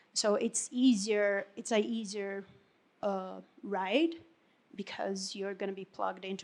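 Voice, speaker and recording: Speaking with a Portuguese accent, a woman keeps to a fairly slow pace. Her medium-pitched voice shows ordinary pitch variation. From Brazil. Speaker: Salesforce consultant. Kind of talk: panel discussion. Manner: halting.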